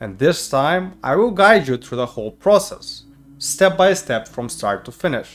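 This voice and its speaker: With a non-native accent, a man talks at a moderate pace and with lively intonation while music plays in the background. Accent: non-native English accent, improved. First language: not English. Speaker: YouTuber. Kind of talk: personal storytelling to camera.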